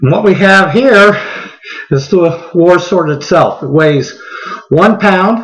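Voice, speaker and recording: Against noticeable background noise and audible room echo, a man with a high pitch talks at a very slow pace, with ordinary pitch variation and long, frequent pauses. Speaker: knife reviewer. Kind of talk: product review. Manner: casual with fillers.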